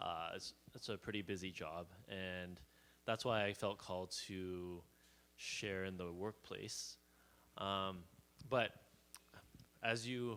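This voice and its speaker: In a Canadian accent, a man speaks with a very deep, low pitch, a bright, sharp tone and fairly even intonation. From Canada (Calgary, Alberta). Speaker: church member sharing testimony. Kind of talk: casual church sharing. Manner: halting.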